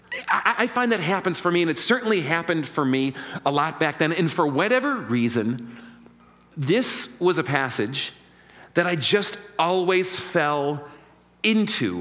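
Over noticeable background noise, a man with a fairly high voice speaks fairly slowly, his pitch swinging very widely while his loudness stays very even. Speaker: pastor. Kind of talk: sermon. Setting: church.

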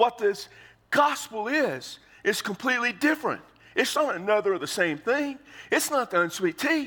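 An American-accented man speaks at an extremely high pitch with very wide pitch swings. His voice is raised and projected, with a bright, sharp tone. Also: moderate pace. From Texas. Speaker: pastor. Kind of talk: sermon. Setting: church.

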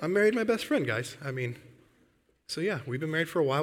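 With an Upper Midwest accent, the voice comes through on a very clean recording with a silent background. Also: man. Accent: Upper Midwest American. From Michigan, US Midwest. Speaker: Bible camp director, guest preacher. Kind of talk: sermon. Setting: church.

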